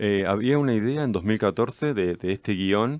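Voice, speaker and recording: A Rioplatense accent in a dry sound with no echo, over a quiet background. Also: man. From Argentina, Mar del Plata; Argentina. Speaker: film director; guest. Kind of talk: interview. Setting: radio studio. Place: studio. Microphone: studio mic.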